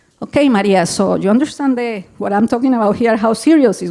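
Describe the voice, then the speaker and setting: A woman speaks with a Colombian accent. Her pace is fairly quick and her pitch varies in an ordinary way. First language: Spanish. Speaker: public health executive director. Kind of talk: conference presentation. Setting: symposium with audience. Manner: animated.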